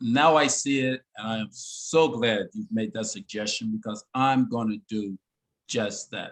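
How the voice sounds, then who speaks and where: Here a man has a plain, everyday voice at a medium pitch, with lively intonation and a fairly slow pace. The sound is dry and close, with no echo. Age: 60s. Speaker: inventor and design teacher. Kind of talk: interview. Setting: video call.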